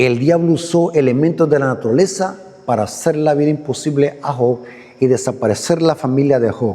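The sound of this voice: A man speaks at a fairly quick pace in a medium pitch. His tone is dark and mellow. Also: ordinary pitch variation.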